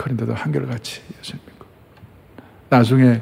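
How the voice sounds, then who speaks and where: Over noticeable background noise, a man speaks at a medium pitch and a moderate pace, with ordinary pitch variation. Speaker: pastor. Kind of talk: sermon. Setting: church. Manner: animated, preacherly.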